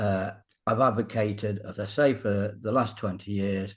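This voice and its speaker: A man with a British accent, fairly slow and fairly even in intonation, against a quiet background. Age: 70s. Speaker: fitness coach. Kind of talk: casual interview.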